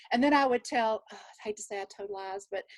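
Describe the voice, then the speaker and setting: The voice carries a Southern US accent and ordinary pitch variation. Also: woman. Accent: Southern drawl. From Texas. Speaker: nurse. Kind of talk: casual chat.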